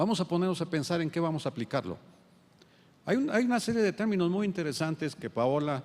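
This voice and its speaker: The speaker is a man. He talks at a moderate pace. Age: 70s. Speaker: endocrinologist. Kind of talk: lecture. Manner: halting.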